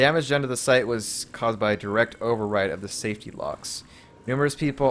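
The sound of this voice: This unforced reading voice has ordinary pitch variation.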